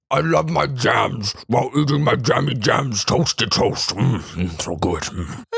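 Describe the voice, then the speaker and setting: A man puts on a cartoonish character voice at a medium pitch. He growls through it at a moderate pace. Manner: overly friendly, odd.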